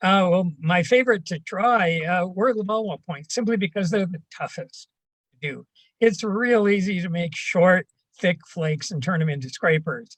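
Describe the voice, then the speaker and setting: At a moderate pace, a man with a Canadian accent speaks in a high pitch. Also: ordinary pitch variation. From Canada. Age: 70s. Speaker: retired archaeology professor. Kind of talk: casual interview. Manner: halting, many fillers.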